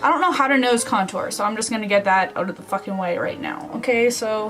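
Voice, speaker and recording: Audible room echo mixed with noticeable background noise. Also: woman. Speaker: beauty youtuber. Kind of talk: makeup tutorial. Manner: casual, profane.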